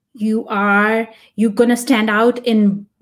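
An animated woman with a Punjabi accent speaks at a fairly high pitch with ordinary pitch variation. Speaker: tech product manager. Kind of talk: interview. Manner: halting.

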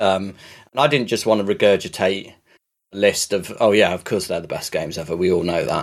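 Speaking in a normal speaking voice, a man uses a fairly low pitch, a fairly quick pace and ordinary pitch variation. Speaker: podcast co-host. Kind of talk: casual chat. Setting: recording from a laptop.

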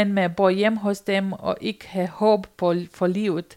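A woman speaks at a very slow pace in a Romanian accent. Her pitch sits in the medium range. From rural Romania. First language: Romanian (speaking Danish). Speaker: volunteer storyteller on loneliness. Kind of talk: personal testimony interview. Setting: sofa at a volunteer centre.

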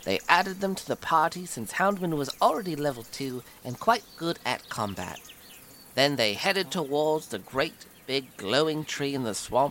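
Over noticeable background noise, a man with a fairly high pitch talks at a moderate pace with very wide pitch swings. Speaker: tabletop roleplaying game master recapping story. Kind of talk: scripted story recap narration. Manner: animated storytelling.

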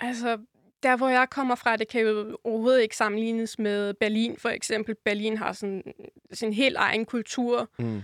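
Woman with a fairly high pitch and flat, monotone intonation at a fairly slow pace, in a dry, close sound with no echo on a very clean recording with a silent background. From northern Germany, Rotenburg (Wümme). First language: German (speaking Danish). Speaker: podcast guest. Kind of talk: casual interview. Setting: studio.

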